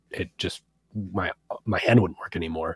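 A man's very deep, low voice with an American accent and fairly even intonation, dry and close with no echo on a very clean recording with a silent background. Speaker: electronic music producer. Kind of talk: interview.

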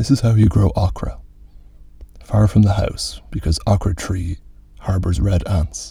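A man with a fairly low pitch and vocal fry talks at a fairly slow pace with ordinary pitch variation. He takes long, frequent pauses. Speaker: podcast host reading fiction aloud. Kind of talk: literary audiobook reading, calm, unvoiced. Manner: even, measured, restful delivery without character voices or accents.

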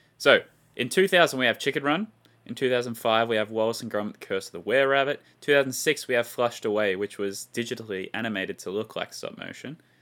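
Talking at a very fast pace, a man with an Australian accent has a medium pitch, a bright, sharp tone, ordinary pitch variation and big swings in loudness. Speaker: film review podcast co-host. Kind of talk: casual chat; scripted narration. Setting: video call.

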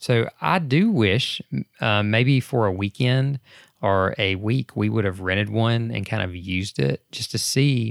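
At a fairly slow pace, a man with an ordinary speaking voice talks at a fairly low pitch with ordinary pitch variation. The recording is very clean, with a silent background and a dry, close sound with no echo. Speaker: podcast host. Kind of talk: casual chat. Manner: chatty, joking.

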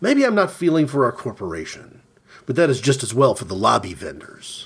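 On a very clean recording with a silent background, a man speaks with vocal fry. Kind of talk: literary audiobook reading of a surreal short story.

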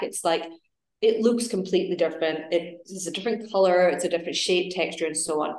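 A woman with an Edinburgh accent, fairly low in pitch, with ordinary pitch variation and audible room echo. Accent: Scottish (Edinburgh). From Scotland, Edinburgh. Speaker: wellness coach and yoga teacher, cancer survivor. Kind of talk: casual interview chat.

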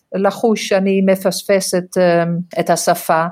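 A woman with a non-native accent, at a very slow pace. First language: not Hebrew (speaking Hebrew). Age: 60s. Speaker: gerontology lecturer and social worker. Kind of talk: interview.

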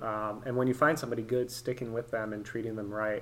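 His intonation stays monotone and flat. The man has a medium pitch and speaks with an American accent. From US West Coast (San Francisco Bay Area). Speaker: structural engineer and real estate investor. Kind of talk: casual interview.

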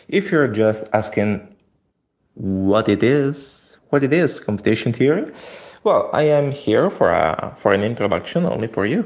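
A man talks with an Italian accent. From Italy. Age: 20s. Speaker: software engineer. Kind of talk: recorded voice message. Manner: halting.

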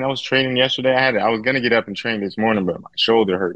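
With ordinary pitch variation, a man in an American accent talks at a very fast pace. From Southern California (Victorville). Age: 40s. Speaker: wheelchair athlete with quadriplegia. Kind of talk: casual interview. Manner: animated.

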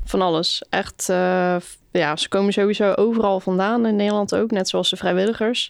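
In a plain, everyday voice, a woman speaks at a moderate pace and medium pitch with fairly even intonation and big swings in loudness, against a quiet background. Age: 20s. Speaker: summer camp leader. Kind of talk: casual interview.

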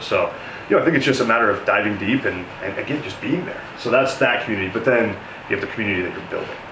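A man with a General American accent talks at a very fast pace. Noticeable background noise and audible room echo fill the recording. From Denver, Colorado, US. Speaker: real estate developer. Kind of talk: interview. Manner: hesitant with fillers.

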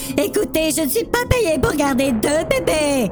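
A put-on character voice, female-sounding and high-pitched, at a moderate pace under loud background noise. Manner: shouting.

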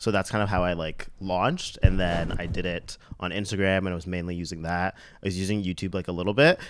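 Speaking at a very fast pace with hardly any pauses, a man with a Canadian accent keeps a very deep, low pitch and fairly even intonation. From Mississauga, Ontario, Canada. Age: 30s. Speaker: fashion and lifestyle blogger. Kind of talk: casual interview chat.

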